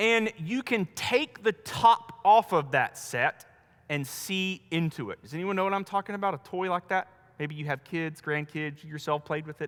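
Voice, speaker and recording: A man's high-pitched, animated voice with a Southern US accent, lively intonation and a moderate pace, in a dry, close sound with no echo. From US South, North Carolina. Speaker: pastor. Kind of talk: sermon.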